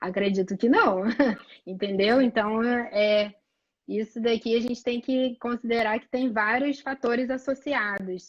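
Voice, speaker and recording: In a Rio de Janeiro accent, the speaker goes at a fairly slow pace with fairly even intonation but big swings in loudness. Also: woman, fairly high pitch for a woman. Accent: carioca. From Rio de Janeiro, Brazil. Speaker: pediatric allergist. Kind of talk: live medical chat.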